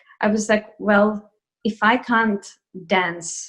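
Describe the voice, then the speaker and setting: A woman talks at a medium pitch with a Russian accent. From Russia, Moscow. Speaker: ballet dancer. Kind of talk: interview. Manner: hesitant with fillers.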